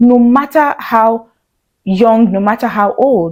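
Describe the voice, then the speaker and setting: This woman's fairly high voice has a dark, mellow tone, sounds shaky, and shows ordinary pitch variation. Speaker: video blogger. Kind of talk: talking-head commentary.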